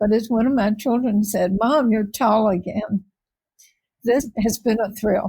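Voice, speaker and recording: A woman with an American accent, fairly high in pitch, somewhat breathy, with a dark, mellow tone, fairly even intonation, very even loudness and a fairly slow pace. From Richmond, Virginia. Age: 80s+. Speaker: former reporter, lobbyist, public relations practitioner. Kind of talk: interview answer.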